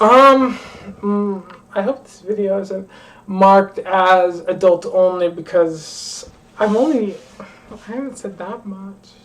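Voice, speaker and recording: Very slow in pace, a woman with a medium pitch speaks with ordinary pitch variation and big swings in loudness over noticeable background noise. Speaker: livestreamer. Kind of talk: casual livestream chat.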